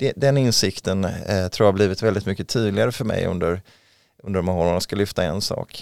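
A man with a normal speaking voice talks at a moderate pace in a fairly low pitch. The recording is very clean, with a silent background and a dry, close sound with no echo. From western Sweden, Mölndal near Gothenburg. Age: 40s. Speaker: local politician. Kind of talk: interview. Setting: studio.

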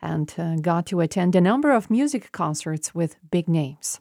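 A woman with a Slovenian accent, fairly low in pitch, at a moderate pace, on a very clean recording with a silent background and a dry, close sound with no echo. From Slovenia, Maribor. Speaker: radio journalist. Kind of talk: prepared monologue.

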